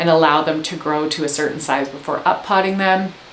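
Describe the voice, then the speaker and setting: A woman with a Canadian accent, animated in tone at a moderate pace, with light background noise and audible room echo. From Canada. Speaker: gardening educator. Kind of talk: tutorial. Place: home room.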